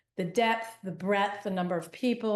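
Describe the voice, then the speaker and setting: The intonation stays fairly even. The speaker is a woman. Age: 60s. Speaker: yoga therapist. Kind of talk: interview. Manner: halting.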